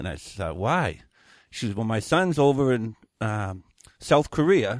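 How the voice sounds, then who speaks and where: Speaking with a Maine accent at a fairly slow pace, this voice makes very wide swings in pitch. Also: man, medium pitch for a man. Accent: Maine rural New England. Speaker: viral weathercaster and deer hunter. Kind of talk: interview answer. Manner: casual, blunt.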